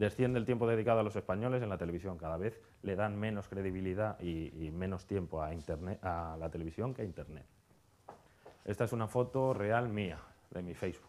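The pitch of this man is fairly low and varies in an ordinary way. He uses a plain, everyday voice. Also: fairly quick pace. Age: 30s. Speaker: conference speaker on hotel marketing. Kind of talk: conference talk.

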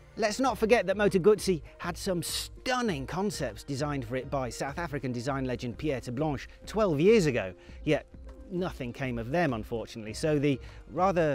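Recorded dry with no echo, the speech moves at a moderate pace over faint music in the background. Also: man. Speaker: presenter. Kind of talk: news presentation to camera. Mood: dry humorous. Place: garden. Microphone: lapel.

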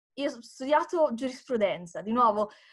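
Against a quiet background, a woman speaks in a Tuscan accent at a high pitch with lively intonation. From Tuscany, Italy. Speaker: democracy support worker; interview guest. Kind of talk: interview. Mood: warm, smiling. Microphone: video call.

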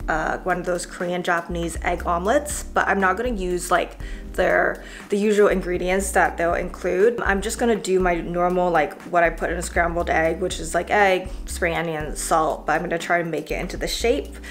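A woman speaks at a moderate pace over faint music in the background. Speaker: vlogger. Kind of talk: casual vlog chat. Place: kitchen. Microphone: phone near.

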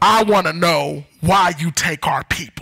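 A gruff, put-on character voice comes through at a middle pitch. The pace is fairly slow. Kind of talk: sermon. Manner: demanding, confrontational. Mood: impassioned, pleading.

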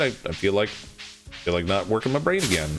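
Music plays in the background as a man talks in a relaxed tone. His pitch swings very widely. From Canada. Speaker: game streamer. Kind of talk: informal, conversational. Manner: fast talker; casual, relaxed, joking.

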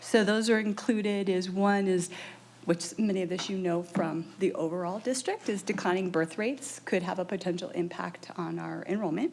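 Here a woman speaks at a moderate pace. Her pitch is medium, with ordinary variation. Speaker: early childhood program staff presenter. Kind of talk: presentation at school board meeting. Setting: boardroom meeting. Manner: loud; many filler ums, halting.

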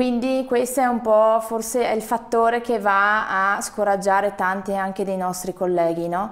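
An ordinary speaking voice: a woman at medium pitch, fairly even in intonation. She goes at a fairly slow pace with hardly any pauses. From Veneto. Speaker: hotelier; interviewee. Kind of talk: interview. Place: studio. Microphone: lapel.

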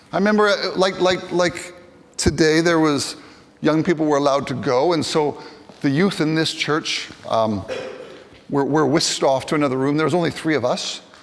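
This man speaks with a Canadian accent at a moderate pace. His delivery has long, frequent pauses. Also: fairly high pitch for a man, ordinary pitch variation. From Western Canada. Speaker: bishop. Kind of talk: sermon. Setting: church. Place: church. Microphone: handheld.

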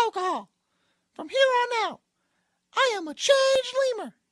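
The voice is a squeaky, put-on character voice. Its pace is moderate. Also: woman. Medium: cartoon. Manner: cocky, flippant.

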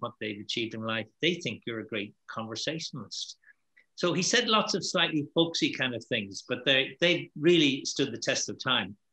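A man with an Irish accent, bright, sharp tone, lively intonation, and a fairly quick pace over a quiet background. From Ireland. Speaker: networking keynote speaker; keynote speaker. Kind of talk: panel Q&A discussion. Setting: video call. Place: home room. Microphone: webcam.

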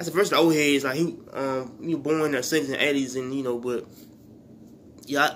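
A man talks at a moderate pace with a fairly high pitch and fairly even intonation. Long, frequent pauses break his speech, and the room echo is audible. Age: 20s. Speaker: YouTuber. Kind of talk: vlog monologue. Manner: halting, many fillers and restarts.

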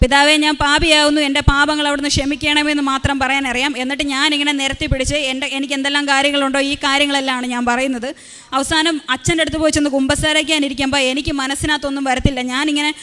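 A woman's high, raised and projected voice in a flat monotone, over noticeable background noise. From Kerala, Kottayam. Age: 20s. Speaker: testimony giver at a church. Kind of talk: testimony.

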